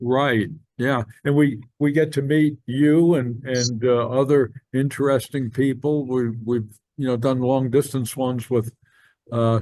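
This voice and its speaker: A man with an American accent talks at a fairly slow pace, his pitch medium. His tone is dark and mellow, and his intonation fairly even. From New Jersey. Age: 70s. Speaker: podcast host. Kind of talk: casual chat. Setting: video call.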